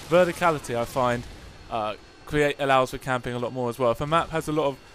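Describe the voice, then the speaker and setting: A man talks with music playing in the background. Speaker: gaming commentator. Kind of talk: gameplay commentary. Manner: casual, rambling, hesitant.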